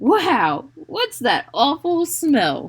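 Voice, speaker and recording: A put-on character voice pitched high. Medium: read story.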